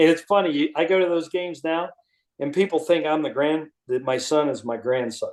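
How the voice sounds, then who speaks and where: Speaking at a moderate pace, a man uses an unremarkable speaking voice pitched fairly high. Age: 60s. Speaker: retired executive and author. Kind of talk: casual interview chat.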